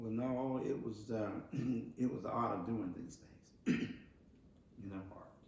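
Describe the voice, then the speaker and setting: A man speaks at a very slow pace and medium pitch, somewhat breathy, with fairly even intonation. Long, frequent pauses and big swings in loudness run through his speech. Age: 80s+. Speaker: retired brick mason. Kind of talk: interview answer.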